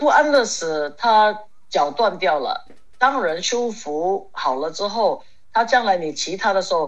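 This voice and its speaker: At a fairly slow pace, a woman speaks at a medium pitch with very wide pitch swings. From Hong Kong. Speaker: ceramic artist and horse rider. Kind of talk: casual interview chat.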